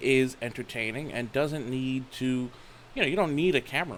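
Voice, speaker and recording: An ordinary speaking voice from a man, medium in pitch, at a fairly quick pace. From United States. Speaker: talk show host. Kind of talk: interview.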